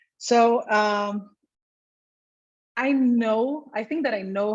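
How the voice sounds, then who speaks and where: A woman speaks in a Portuguese accent at a very slow pace. Her pitch varies in an ordinary way. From Brazil. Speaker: infectious disease physician. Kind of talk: career talk. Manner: hesitant with fillers.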